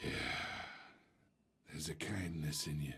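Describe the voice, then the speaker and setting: Moderate pace in a man's raspy, very deep, low put-on character voice. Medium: video game. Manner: smug, manipulative.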